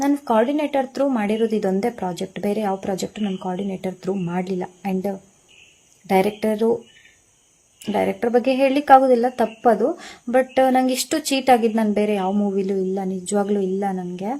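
Her tone is dark and mellow. The woman's pitch shifts in an ordinary way. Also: medium pitch for a woman. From coastal Karnataka, Udupi. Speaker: film actress. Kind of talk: statement to news media. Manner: animated.

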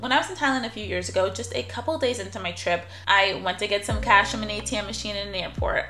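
Clear music plays in the background. A woman with an American accent speaks at a fairly quick pace. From New York. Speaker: travel vlogger. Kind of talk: casual talk to camera. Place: home room.

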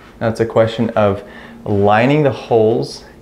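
Amid audible room echo, a man talks slowly with a fairly low pitch, fairly even intonation and a slightly mellow tone.

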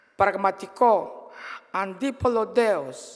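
The background stays quiet as a woman talks, her pitch varying in an ordinary way. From Bulgaria. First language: Bulgarian (speaking Greek). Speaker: politician and trade unionist; politician. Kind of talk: political speech. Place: hall. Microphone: podium.

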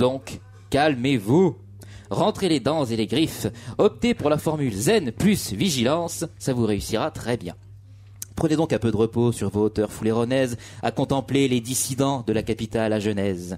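This man's speech comes at a fairly slow speed. The intonation rises and falls in a lively way. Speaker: radio co-host. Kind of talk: casual chat. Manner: halting. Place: studio.

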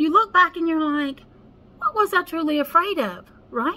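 A woman projects her voice in a raised, bright, sharp tone. Her intonation is lively and her pace is fairly slow. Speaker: spiritual life coach. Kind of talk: casual vlog chat. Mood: earnest, encouraging. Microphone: phone near.

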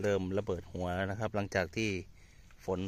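Monotone, flat male voice with a very deep, low pitch, in a dry sound with no echo. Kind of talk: casual farm vlog commentary. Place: farm machine. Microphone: phone near.

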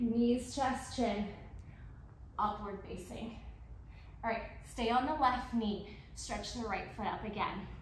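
A woman speaks in a fairly high voice with fairly even intonation, leaving long, frequent pauses. There is audible room echo and light background noise. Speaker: yoga instructor. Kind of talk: brisk power yoga cueing, rapid-fire pose commands over a moving flow. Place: hall.

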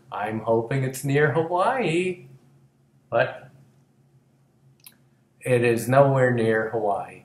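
Long, frequent pauses break up a man's speech, delivered with an American accent at a very slow pace. His pitch variation is ordinary, and room echo is audible. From United States. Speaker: TV comedy writer and producer. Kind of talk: comedic promo talk to camera. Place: home room. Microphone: webcam.

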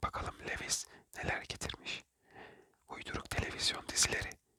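The speaker whispers at a moderate pace. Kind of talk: whispered ASMR book reading for sleep. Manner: whispered, soft, calming.

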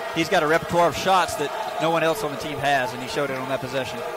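A man at a very fast pace with fairly even intonation, a dry sound with no echo and loud background noise. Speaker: color commentator. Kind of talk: live sports commentary. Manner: conversational, explanatory analyst. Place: stadium. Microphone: headset.

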